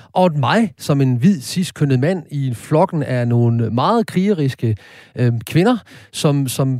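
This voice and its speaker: A man speaks with lively intonation and a dark, mellow tone. The recording is very clean, with a silent background. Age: 50s. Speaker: radio host. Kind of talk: casual chat; scripted narration. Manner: halting.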